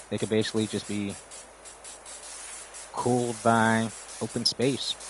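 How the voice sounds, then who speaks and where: With noticeable background noise behind him, a man with an American accent speaks at a fairly slow pace in a medium pitch. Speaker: live streamer. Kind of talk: casual livestream chat. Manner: monotone.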